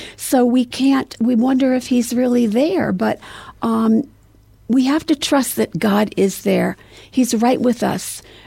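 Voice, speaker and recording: A woman with an American accent and a high pitch speaks at a very slow pace, her dark, mellow tone carrying ordinary pitch variation. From US Northeast. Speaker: memoir author. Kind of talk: interview. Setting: studio.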